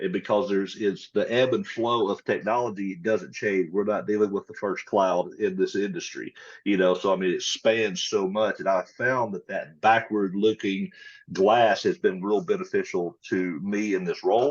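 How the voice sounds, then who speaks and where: A man with a Mississippi accent at a moderate pace, against a quiet background. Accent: Southern US (Mississippi). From US South, rural Mississippi. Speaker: tech company partnerships lead, Air Force veteran. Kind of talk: podcast interview. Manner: casual, conversational.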